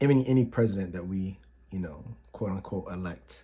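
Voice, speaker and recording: In an American accent, a soft-spoken man talks at a moderate pace with a very deep, low pitch, a dark, mellow, somewhat breathy tone and ordinary pitch variation. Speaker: YouTuber. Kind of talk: casual vlog. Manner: halting.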